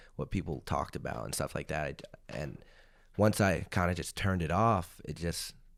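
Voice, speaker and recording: In a very clean recording with a silent background, a man with an American accent talks in a very deep, low voice, using lively intonation and vocal fry. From Arizona, US. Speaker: gaming YouTuber. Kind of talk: podcast interview. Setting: studio. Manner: casual, many fillers.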